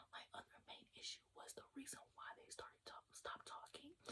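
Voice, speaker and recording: A woman whispers at a moderate pace. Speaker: ASMR content creator. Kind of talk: ASMR whisper ramble about books and hobbies. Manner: whispered, soft.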